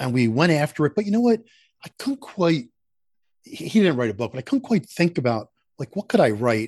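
A man with an American accent and a fairly high pitch, talking fairly quickly yet with long, frequent pauses, his pitch swinging very widely, in a dry, close sound with no echo and a quiet background. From Philadelphia. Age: 60s. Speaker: sales institute founder and author. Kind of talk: podcast interview.

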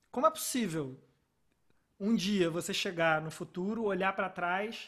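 Here a man speaks with a high pitch. He keeps a moderate pace and ordinary pitch variation. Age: 30s. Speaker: podcast host. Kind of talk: casual chat.

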